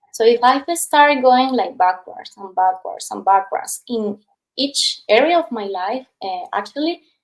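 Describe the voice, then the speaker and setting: A high-pitched female voice at a very slow pace, with lively intonation. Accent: Spanish. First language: Spanish. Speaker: past life regression therapist. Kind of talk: casual interview chat. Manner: animated storytelling.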